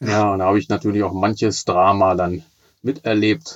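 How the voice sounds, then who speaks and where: A normal speaking voice at a moderate pace with fairly even intonation, over a quiet background. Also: man. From Braunschweig, northern Germany. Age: 40s. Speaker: teacher and blind-radio football commentator. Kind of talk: casual interview.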